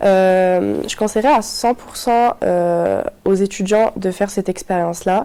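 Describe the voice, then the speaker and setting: At a fairly slow pace, a woman talks with a medium-pitched voice. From Morocco. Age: 20s. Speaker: university student. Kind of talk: testimony. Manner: hesitant, many fillers.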